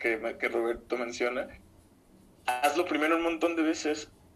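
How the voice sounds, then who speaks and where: The pitch moves in an ordinary way. This man talks with a Mexican accent. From Mexico, Zamora (Michoacán). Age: 20s. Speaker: musician and podcaster. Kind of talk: casual chat.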